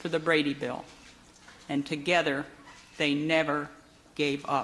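A woman speaks at a fairly slow pace. There is light background noise behind her. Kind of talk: formal ceremonial speech. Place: hall. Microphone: podium.

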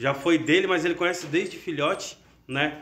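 A man talks at a moderate pace. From Brazil. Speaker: canary breeder and channel host; canary breeder youtuber. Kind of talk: casual video announcement. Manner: animated. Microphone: phone near.

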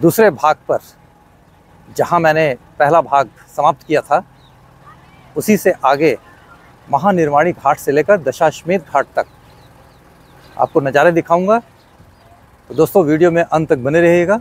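Speaking at a very slow pace with long, frequent pauses, a man uses ordinary pitch variation in a dry sound with no echo. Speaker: travel vlogger. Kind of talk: casual vlog chat. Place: waterside. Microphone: phone near.

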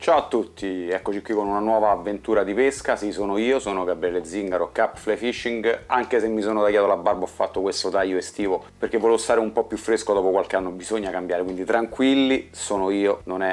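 Talking very fast with hardly any pauses, a man keeps a fairly low pitch and fairly even intonation. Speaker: fishing channel host. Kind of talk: casual vlog intro. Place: home room. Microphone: lapel.

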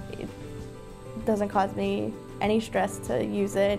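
Clear music plays in the background as a woman speaks with a very deep, low pitch. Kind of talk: interview answer. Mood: positive, pleased. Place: office.

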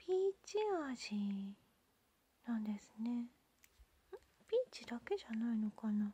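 Delivered very slowly with long, frequent pauses, the speech has a dry sound with no echo. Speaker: ASMR channel host. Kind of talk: soft-spoken ASMR candy unboxing talk. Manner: whispered, gentle. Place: home room.

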